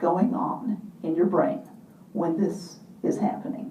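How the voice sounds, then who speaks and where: A woman speaks at a very slow pace with lively intonation. Noticeable background noise and audible room echo fill the recording. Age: 50s. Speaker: motivational speaker and mentor. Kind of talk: keynote talk.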